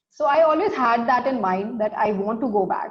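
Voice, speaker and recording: A woman with a fairly high pitch and lively intonation speaks in a room with audible echo. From India. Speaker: startup founder and CEO. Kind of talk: interview. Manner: hesitant, many fillers.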